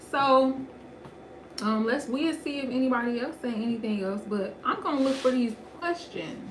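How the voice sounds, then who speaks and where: Over noticeable background noise and audible room echo, a woman speaks at a moderate pace. Her pitch is high and her intonation lively. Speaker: home renovation youtuber. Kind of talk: casual chat. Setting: livestream.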